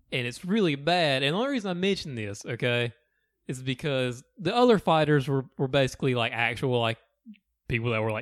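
With a strong Southern accent, a man speaks at medium pitch and a fairly quick pace, his pitch varying in an ordinary way. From US South. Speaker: podcast co-host. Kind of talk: casual chat.

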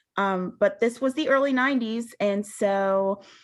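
A woman has a plain, everyday voice with an American accent. Her pitch sits in the medium range and varies in an ordinary way. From Western Pennsylvania, rural. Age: 30s. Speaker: peer recovery specialist. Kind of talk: testimony. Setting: video call.

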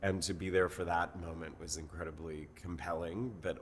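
The man keeps a fairly even intonation and a moderate pace in his very deep, low voice. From Mexico City, Mexico. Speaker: brand consultant and executive coach. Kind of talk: casual interview.

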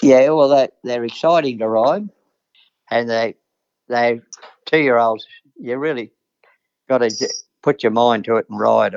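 A man talks with an Australian accent at a fairly slow pace. He leaves long, frequent pauses, and his pitch varies in an ordinary way. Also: medium pitch for a man. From Queensland, Australia. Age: 70s. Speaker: retired jockey. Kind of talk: interview. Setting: phone call.

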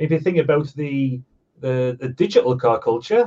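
In a Sunderland accent, a man speaks at a moderate pace with a fairly high pitch, ordinary pitch variation, and a somewhat breathy, dark, mellow tone. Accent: Sunderland (Mackem). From northeast England, Sunderland. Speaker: online car magazine founder. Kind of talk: casual interview chat.

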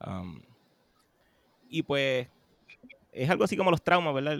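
A man talks at a moderate pace, his pitch sitting in the medium range. The sound is dry and close, with no echo. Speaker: composer. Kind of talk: casual chat.

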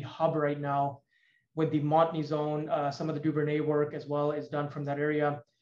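Speaking at a fairly quick pace, the man has a fairly high pitch and monotone, flat intonation. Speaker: petroleum engineer and investment firm CEO. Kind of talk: interview. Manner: hesitant fillers.

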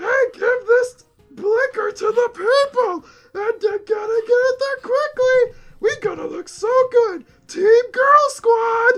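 Fairly slow, extremely high-pitched put-on character voice from a man

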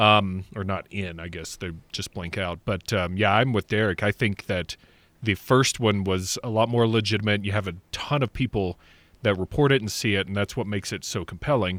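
An ordinary speaking voice at a moderate pace, dry and close with no echo, in a very clean recording over a silent background. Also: man, fairly low pitch for a man, ordinary pitch variation. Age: 40s. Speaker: podcaster. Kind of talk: casual chat.

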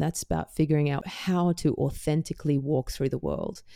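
With an Australian accent, a woman speaks at a fairly quick pace in a very deep, low pitch, her dark, mellow tone flat and monotone, in a dry, close recording with no echo. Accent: mild Australian. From Perth, Western Australia. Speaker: singer-songwriter. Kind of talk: casual interview chat.

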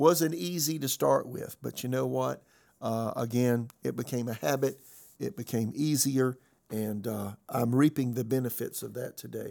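The tone is dark and mellow, the pace moderate, and the pitch varies in an ordinary way. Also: man, medium pitch for a man. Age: 60s. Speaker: pastor. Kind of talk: sermon-style podcast message.

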